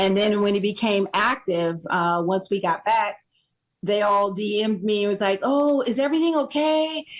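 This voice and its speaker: Delivered with a slight Wisconsin accent, the speech has lively intonation, very even loudness and a moderate pace. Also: woman, medium pitch for a woman. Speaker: reality show contestant. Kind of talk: interview.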